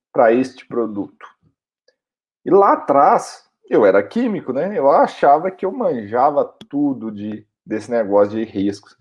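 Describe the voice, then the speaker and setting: A man's fairly high voice at a fairly slow pace, full of very wide pitch swings. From Minas Gerais, Brazil. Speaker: occupational hygienist and online instructor. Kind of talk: educational video talk. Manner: casual, conversational.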